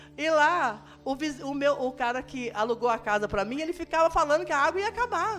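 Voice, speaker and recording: Over music in the background, a woman speaks at a moderate pace with a high pitch that swings very widely. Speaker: missionary. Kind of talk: testimony. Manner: halting, with many false starts.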